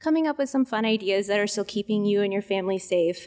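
A woman with a Midwestern US accent talks very fast at a medium pitch, with ordinary pitch variation and an animated, cheerful tone. The sound is dry and close, with no echo. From US Midwest. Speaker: cheese department manager. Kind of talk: casual interview chat. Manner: animated, cheerful, laughs often.

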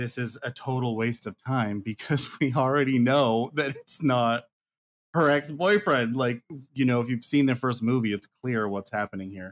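A man with an American accent has a plain, everyday voice at a medium pitch with ordinary pitch variation. He talks at a moderate pace in a very clean recording with a silent background. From rural US West (small high-desert town). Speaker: filmmaker. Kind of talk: casual chat.

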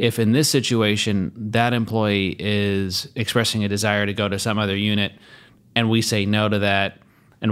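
A man's fairly low voice, an ordinary speaking voice with fairly even intonation, on a very clean recording with a silent background. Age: 30s. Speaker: podcast co-host, insurance agency owner. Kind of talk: casual chat.

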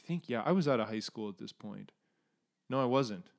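In a very clean recording with a silent background, a man with a Canadian accent speaks at medium pitch, a plain, everyday voice. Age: 30s. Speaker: podcast co-host. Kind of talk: casual chat.

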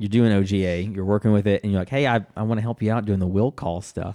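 A man with an American accent and a dark, mellow tone, on a very clean recording with a silent background. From US South, Jackson, Mississippi. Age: 30s. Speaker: soccer club staff member and former radio co-host. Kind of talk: casual chat.

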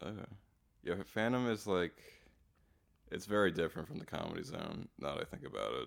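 A man with an American accent speaks at a fairly quick pace, his fairly low pitch carrying vocal fry. His intonation is lively, broken by long, frequent pauses. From Pennsylvania, US Northeast. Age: 20s. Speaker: comedian and podcast host. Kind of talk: casual chat.

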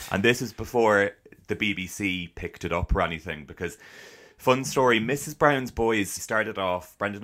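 In a Dublin accent, a man with a bright, sharp tone talks at a fairly quick pace with ordinary pitch variation. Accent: Irish (Dublin area). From Ireland, town near Dublin. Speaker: actor and podcaster. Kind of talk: casual interview chat. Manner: animated.

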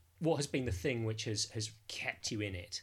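A man speaks at a fairly slow pace and a medium pitch. His voice is somewhat breathy. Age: 40s. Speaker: podcast host. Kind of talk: casual chat. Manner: halting.

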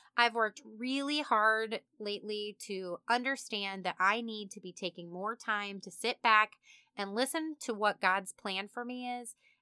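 Speaking with a Midwestern US accent, a woman uses a fairly high, bright, sharp voice with ordinary pitch variation at a fairly slow pace, in a very clean, dry, close recording with a silent background and no echo. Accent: US Midwest. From Kansas. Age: 30s. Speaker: podcast host. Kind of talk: casual monologue. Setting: home studio, alone. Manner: animated.

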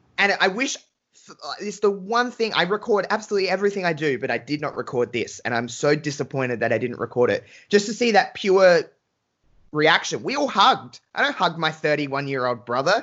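A man speaks in an Australian accent with an enthusiastic tone at a high pitch. His pitch swings very widely at a fairly quick pace. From Australia, Adelaide. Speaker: wrestling fan guest. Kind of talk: casual chat.

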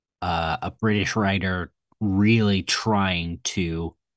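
The clip is plain reading aloud. Little can be heard behind it.

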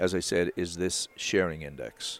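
A man with a Newfoundland accent speaks in a very deep, low voice. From Newfoundland, Canada. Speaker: wildlife conservation expert. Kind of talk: interview. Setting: trade show.

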